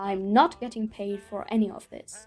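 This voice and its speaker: The speaker has a non-native accent. Noticeable background noise runs beneath the voice. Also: woman. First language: not English. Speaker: documentary video maker. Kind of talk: scripted narration.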